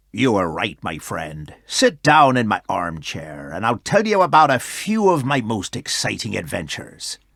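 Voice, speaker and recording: A man's put-on character voice at a medium pitch, at a moderate pace with hardly any pauses. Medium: read story. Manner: hearty, boastful.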